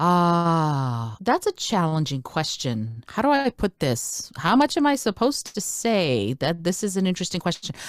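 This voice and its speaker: Speaking at a moderate pace with hardly any pauses, a woman with a fairly low pitch makes very wide pitch swings, her sound dry and close with no echo on a very clean recording with a silent background. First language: Russian. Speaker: speaker, educator and podcaster. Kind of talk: interview answer.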